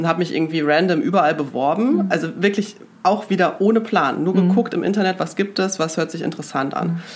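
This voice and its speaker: A woman's fairly low-pitched voice at a very fast pace, with ordinary pitch variation and noticeable background noise. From Germany, Münster. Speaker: magazine executive. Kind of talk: casual interview.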